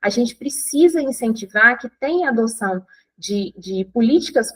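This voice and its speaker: A woman's high voice with lively intonation, in a dry, close sound with no echo. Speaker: breastfeeding educator. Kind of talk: online course lecture.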